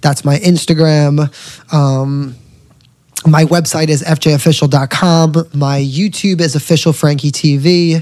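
Speaking at a very slow pace, a man with a fairly high pitch talks in a New York accent. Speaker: singer and social media entertainer. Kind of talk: casual chat. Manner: animated.

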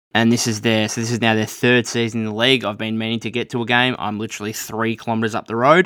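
A man with an Australian accent speaks at a medium pitch in a bright, sharp tone. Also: very clean recording, silent background. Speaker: podcast host. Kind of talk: solo podcast monologue about basketball news. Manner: casual, conversational, with frequent filler words.

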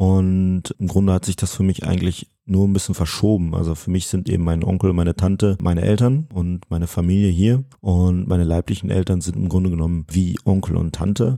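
A man's very deep, low, dark and mellow voice at a fairly quick pace, fairly even intonation and hardly any pauses, in a very clean recording with a silent background. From Münsterland, Germany. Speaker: wheelchair racer. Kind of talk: casual interview.

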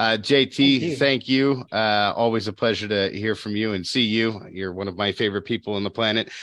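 A man speaks in a plain, everyday voice at medium pitch. His pace is fairly quick, with ordinary pitch variation. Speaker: podcast host. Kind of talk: casual interview. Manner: playful, jokey.

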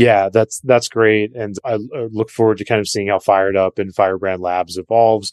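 A man's fairly low-pitched, unremarkable speaking voice at a moderate pace, with hardly any pauses, fairly even intonation, and a dry, close sound with no echo against a quiet background. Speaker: podcast host. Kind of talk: interview.

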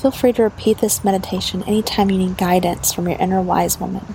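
Against noticeable background noise, a woman with a warm tone and medium pitch talks at a fairly quick pace with fairly even intonation. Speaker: meditation guide and podcast host. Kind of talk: guided meditation. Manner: soft-spoken, warm and dreamy.

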